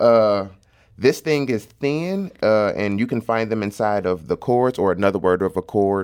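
A man with a St. Louis accent, fairly low in pitch with ordinary variation, at a moderate pace on a very clean recording with a silent background. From St. Louis, North City. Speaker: comedian and content creator. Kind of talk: casual interview.

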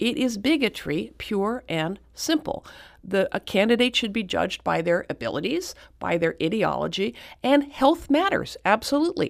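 A woman talks at a fairly high pitch with very wide pitch swings. Her voice has vocal fry. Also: moderate pace, very clean recording, silent background. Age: 60s. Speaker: author and activist. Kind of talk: radio interview.

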